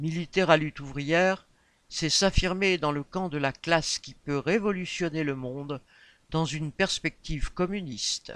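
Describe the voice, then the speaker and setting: A man with a plain, everyday voice speaks at a fairly slow pace and a fairly high pitch, with ordinary pitch variation and big swings in loudness, on a very clean recording with a silent background and a dry, close sound with no echo. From Réunion. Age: 50s. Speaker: election candidate. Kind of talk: campaign statement. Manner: formal.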